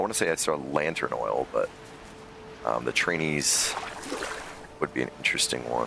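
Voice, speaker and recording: A man's very deep, low voice with ordinary pitch variation, very even loudness, a moderate pace and long, frequent pauses, over noticeable background noise. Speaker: gaming streamer. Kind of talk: live game stream chat. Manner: louder than usual.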